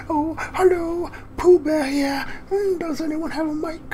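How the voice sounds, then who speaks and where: A man's put-on character voice, extremely high-pitched, at a moderate pace over clear background noise. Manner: slow, gentle.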